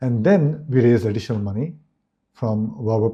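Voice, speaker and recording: A man talks at a fairly quick pace in a dark, mellow tone. His voice is somewhat breathy, with lively intonation. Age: 60s. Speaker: business executive. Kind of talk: interview.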